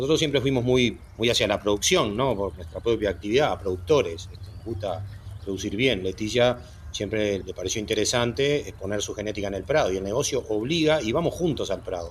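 Somewhat breathy and fairly low in pitch, a man speaks at a fairly quick pace. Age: 60s. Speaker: dairy farm director. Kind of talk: interview.

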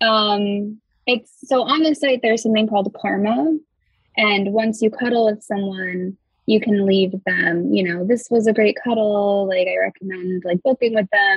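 The voice is somewhat breathy, with ordinary pitch variation. Loudness stays very even at a moderate pace. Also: woman, medium pitch for a woman. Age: 20s. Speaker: professional cuddler. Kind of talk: casual chat.

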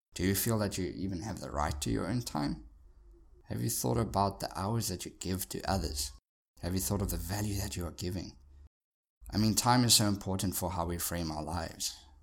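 A man talks with a very deep, low pitch. Vocal fry runs through his voice. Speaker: podcast host. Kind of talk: solo podcast monologue. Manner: motivational, conversational.

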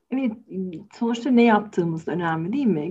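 A somewhat breathy woman's voice with a dark, mellow tone and ordinary pitch variation. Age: 40s. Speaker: psychologist, podcast co-host. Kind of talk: casual discussion podcast.

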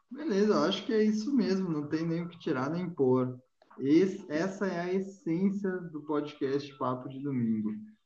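With audible room echo, a man with a high-pitched, dark, mellow voice speaks in lively intonation and big swings in loudness. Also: moderate pace. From Rio Grande do Sul, Brazil. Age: 20s. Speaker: podcast host. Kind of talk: casual chat.

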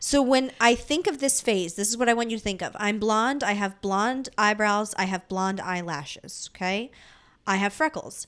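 In an ordinary speaking voice with an American accent, a woman talks at a moderate pace with a fairly high pitch and ordinary pitch variation, on a very clean recording with a silent background. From Delaware County, Pennsylvania (Philadelphia area). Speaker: podcast co-host. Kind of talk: casual chat. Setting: home recording with fan running.

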